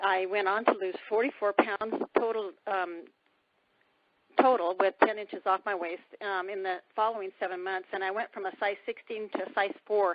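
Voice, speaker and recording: Delivered in a flat monotone, the words come at a moderate pace. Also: woman, medium pitch for a woman. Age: 60s. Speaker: weight-loss product distributor sharing testimony. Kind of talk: testimony. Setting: phone call.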